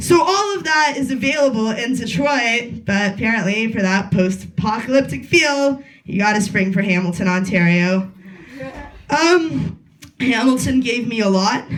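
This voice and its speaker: This woman's voice is somewhat breathy. Her pitch sits fairly high. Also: lively intonation, moderate pace. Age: 20s. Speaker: comedian. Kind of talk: stand-up. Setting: stage with audience.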